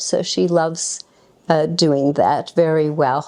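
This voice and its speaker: Her tone is dark and mellow. The woman's intonation stays monotone and flat. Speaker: devotee. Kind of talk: spoken tribute to a friend.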